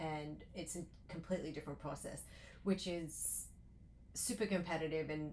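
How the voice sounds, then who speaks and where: A woman with an Australian accent speaks at a moderate pace in a very deep, low pitch with vocal fry and fairly even intonation, in audible room echo. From Australia, Sydney. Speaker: loan officer. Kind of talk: interview.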